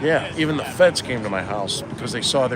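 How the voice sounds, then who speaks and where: A man with an American accent rattles along at a very fast pace, with audible room echo and noticeable background noise. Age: 60s. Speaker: podcaster and political activist. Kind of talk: casual interview chat.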